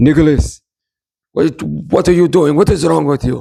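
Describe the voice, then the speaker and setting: This is a put-on character voice in an Italian accent. It sounds raspy and keeps a moderate pace. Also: man, fairly high pitch for a man. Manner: scolding, exasperated.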